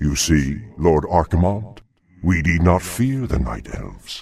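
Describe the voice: A man's put-on character voice, extremely low, with big pitch swings, a slightly husky edge, a slightly mellow tone, vocal fry and a slow pace.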